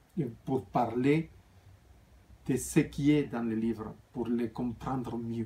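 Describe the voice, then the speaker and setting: A man with a non-native accent speaks at a very slow pace in a medium-pitched, somewhat breathy voice, leaving long, frequent pauses. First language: not French (speaking French). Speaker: spiritual author and vlogger. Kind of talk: casual vlog talk. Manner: halting, with fillers and restarts.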